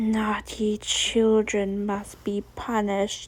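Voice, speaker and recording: A woman puts on a growling character voice at a medium pitch. The delivery is very slow, with monotone, flat intonation. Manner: menacing.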